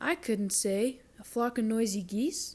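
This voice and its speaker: A woman's fairly high put-on character voice at a fairly slow pace. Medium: read story. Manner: folksy, country.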